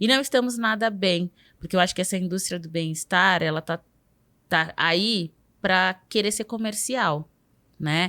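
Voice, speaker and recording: A woman's bright, sharp voice at medium pitch with ordinary pitch variation, fairly slow pace and long, frequent pauses, in a very clean recording with a silent background and a dry, close sound with no echo. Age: 30s. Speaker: journalist. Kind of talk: casual interview conversation.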